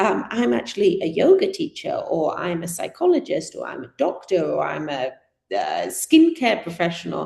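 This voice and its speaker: Speaking at a moderate pace, a woman talks with a British accent. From Britain. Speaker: community organiser. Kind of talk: talk to an audience.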